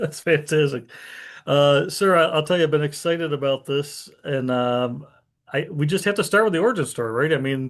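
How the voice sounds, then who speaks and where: Here a man has an ordinary speaking voice at a fairly high pitch. He talks at a fairly quick pace with ordinary pitch variation. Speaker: veterans radio show host. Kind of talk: radio interview host talk.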